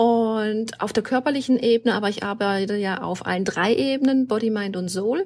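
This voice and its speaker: With an unremarkable speaking voice, a woman talks at a moderate pace and fairly high pitch, using ordinary pitch variation and hardly any pauses. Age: 40s. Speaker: hormone coach and burnout therapist. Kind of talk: interview. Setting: video call.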